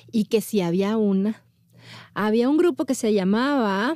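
A woman's dark, mellow tone at a fairly high pitch, with lively intonation and a moderate pace, on a very clean recording with a silent background. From northern Mexico, Monterrey. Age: 40s. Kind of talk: interview.

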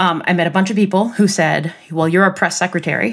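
On a very clean recording with a silent background, a woman with a normal speaking voice and an American accent talks at a fairly quick pace with fairly even intonation. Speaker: startup CEO and co-founder. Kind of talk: interview conversation about career.

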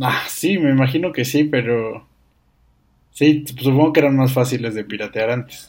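This man speaks with a Mexican accent at a medium pitch, with ordinary pitch variation. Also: moderate pace. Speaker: podcast guest, host's cousin. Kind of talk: casual chat. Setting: home-made studio.

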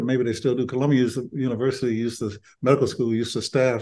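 A man talks at a very fast pace in an Alabama accent. His voice has a medium pitch and a dark, mellow tone. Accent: Southern US (Alabama). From Birmingham, Alabama. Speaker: retired doctor and author. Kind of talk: interview about his memoir.

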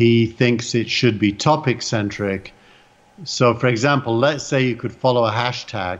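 With an English accent, a man speaks at a fairly slow pace and medium pitch, his intonation fairly even. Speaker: panelist. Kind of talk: casual panel discussion.

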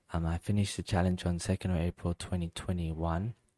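Dry and close with no echo, a man's very deep, low voice comes through in a dark, mellow tone with monotone, flat intonation. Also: very clean recording, silent background. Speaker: podcast host. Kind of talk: solo podcast monologue. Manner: halting, many fillers.

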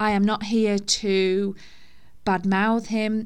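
A woman with a normal speaking voice, medium pitch and fairly even intonation. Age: 30s. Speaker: podcast host sharing divorce experience. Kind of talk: personal monologue. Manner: informal, conversational.

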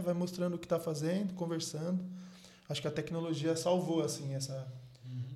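Over noticeable background noise and audible room echo, a man talks at a fairly quick pace in a high pitch. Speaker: podcast host. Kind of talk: casual chat.

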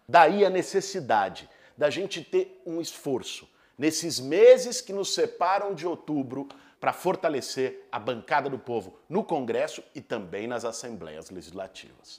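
In a very clean recording with a silent background, a man speaks at a fairly slow pace with a fairly high pitch and vocal fry. His tone is animated, with very wide pitch swings. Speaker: left-wing political commentator. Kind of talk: political commentary video; casual chat.

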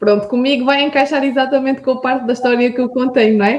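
A woman speaks at a high pitch with monotone, flat intonation. Her pace is fairly quick. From Portugal, Alentejo (Vidigueira). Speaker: entrepreneur. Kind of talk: interview.

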